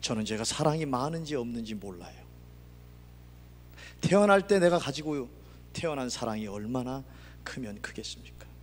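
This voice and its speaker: In a room with audible echo, a man with a slight Gangwon accent speaks at a medium pitch and moderate pace, with lively intonation, big swings in loudness and long, frequent pauses. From Gangwon Province, Korea. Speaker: pastor. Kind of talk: sermon.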